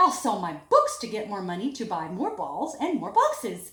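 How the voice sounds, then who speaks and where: A woman puts on a character voice, raised and projected. Her pitch is high and her pace is moderate. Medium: read story.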